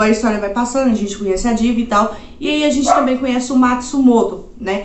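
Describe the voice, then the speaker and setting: There is audible room echo around a woman's voice. Her pitch is fairly high, with ordinary variation. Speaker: anime YouTuber. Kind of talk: casual recommendation video. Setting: home. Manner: casual, uses many fillers.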